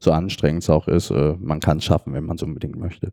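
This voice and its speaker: A man with a dark, mellow tone in a dry, close sound with no echo. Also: very clean recording, silent background. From Saxony, Dresden. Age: 20s. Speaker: sledge hockey player and wheelchair user. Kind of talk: casual interview. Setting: trade fair booth.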